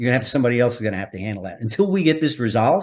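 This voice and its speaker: Speaking very fast with an American accent, a man holds a medium pitch. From New York. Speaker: retired undercover federal agent. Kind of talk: interview storytelling. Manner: animated.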